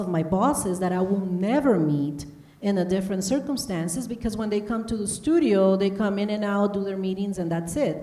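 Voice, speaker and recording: Woman with a Spanish accent, medium pitch, moderate pace, and audible room echo. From Honduras. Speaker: broadcast journalist. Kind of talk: panel interview. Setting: stage with audience.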